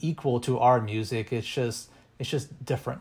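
In an American accent, a man speaks at a moderate pace and medium pitch with ordinary pitch variation. His tone is dark and mellow, and somewhat breathy. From Texas. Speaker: music educator and percussionist. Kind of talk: podcast interview.

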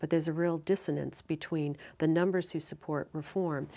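Keeping a fairly even intonation, a woman with a very deep, low pitch speaks at a moderate pace. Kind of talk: interview answer. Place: studio.

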